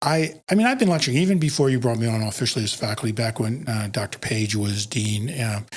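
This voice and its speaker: With ordinary pitch variation, a man talks in a voice that is somewhat breathy. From US Northeast, Philadelphia. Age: 60s. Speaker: podiatric physician and educator. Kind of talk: podcast interview.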